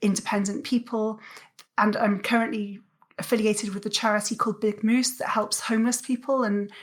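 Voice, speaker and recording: Somewhat breathy and fairly high in pitch, a woman with a Welsh accent speaks at a moderate pace in a monotone, flat intonation. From South Wales. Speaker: athlete and coach. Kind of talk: interview conversation. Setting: podcast.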